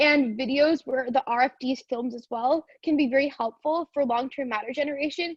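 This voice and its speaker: A woman with a Canadian accent speaks at a high pitch, her pitch varying in an ordinary way. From Canada. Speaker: university debater giving a workshop. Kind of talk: online seminar lecture. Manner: fast.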